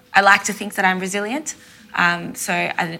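Intonation stays fairly even in this voice with an Australian accent. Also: woman. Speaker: lived experience representative, lawyer. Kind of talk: panel discussion, personal testimony. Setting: stage with live audience.

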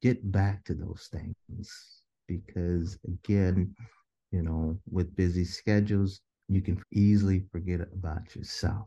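A man's very deep, low, somewhat breathy voice with a dark, mellow tone and an American accent, very slow and flat in intonation, with a dry, close sound and no echo. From Des Moines, Iowa. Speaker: mental health counselor. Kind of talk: interview.

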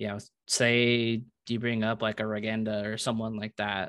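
This is a man with an unremarkable speaking voice. He talks at a moderate pace and a medium pitch. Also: quiet background. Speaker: podcast host. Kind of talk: casual chat.

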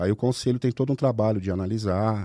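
In a very clean recording with a silent background and a dry, close sound with no echo, a man talks at a fairly quick pace with a fairly low pitch and a dark, mellow tone. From Brazil, Ribeirão Preto (São Paulo state). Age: 40s. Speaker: candidate for child protection council, firearms paperwork agent, army veteran. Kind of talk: casual podcast interview.

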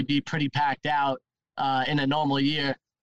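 Recorded dry and close with no echo, a man with a New York accent speaks at a moderate pace. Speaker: van life podcaster. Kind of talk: casual chat.

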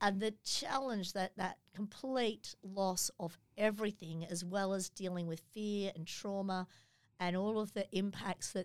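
Speaking fairly slowly in an Australian accent, a woman keeps a fairly even intonation. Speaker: charity executive. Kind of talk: interview.

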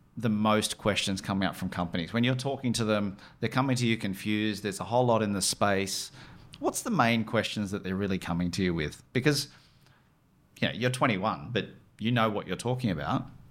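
A man's fairly low pitch with ordinary variation, at a moderate pace broken by long, frequent pauses. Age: 40s. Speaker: company founder and CEO. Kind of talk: casual interview.

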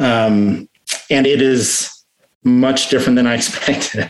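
A man with an American accent talks at a very slow pace and a medium pitch. His intonation is fairly even. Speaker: recovering addict sharing story. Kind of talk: testimony. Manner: halting.

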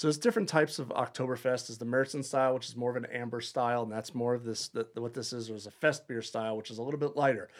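This voice has an American accent and a very fast pace. Its intonation stays fairly even. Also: man. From Long Island, New York. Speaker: head brewer. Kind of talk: casual interview.

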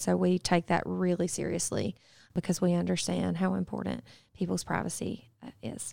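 This woman has a Southern US accent. Her recording is very clean and the background is silent. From US South, upstate South Carolina. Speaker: public health researcher. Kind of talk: interview.

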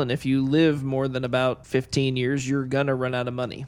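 A man speaks at a moderate pace in a flat monotone, with noticeable background noise. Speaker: financial advisor co-host. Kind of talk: radio talk show.

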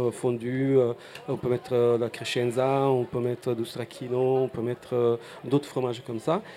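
A man with an Italian accent speaks at a fairly slow pace with fairly even intonation. Noticeable background noise runs underneath. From Apulia, southern Italy. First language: Italian (speaking French). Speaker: restaurant owner. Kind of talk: interview. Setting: outdoor festival stand.

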